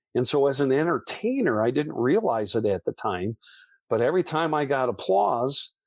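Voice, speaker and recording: A man speaks at medium pitch and a moderate pace with lively intonation. The sound is dry and close with no echo, over a quiet background. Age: 60s. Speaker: musician and author, former foster youth. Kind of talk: interview testimony. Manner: halting, with many repetitions.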